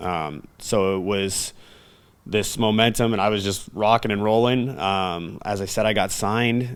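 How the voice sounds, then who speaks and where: A man with a fairly low pitch and fairly even intonation is captured on a very clean recording against a silent background. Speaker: professional wrestler. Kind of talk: interview. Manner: halting.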